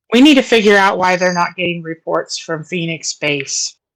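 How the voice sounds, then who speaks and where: A raspy put-on character voice with lively intonation at a moderate pace. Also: woman, medium pitch for a woman. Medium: actual play. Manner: blunt, determined.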